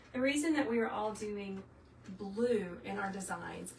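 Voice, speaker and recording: A woman with a slight Southern US accent speaks at a fairly slow pace in a medium pitch, with audible room echo and noticeable background noise. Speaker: craft tutor, former teacher. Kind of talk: live tutorial. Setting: livestream. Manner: animated.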